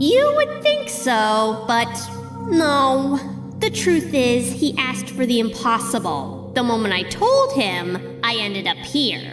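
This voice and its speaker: Over loud background music, a female-sounding put-on character voice speaks at a fairly slow pace. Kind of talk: audio drama. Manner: teasing, taunting.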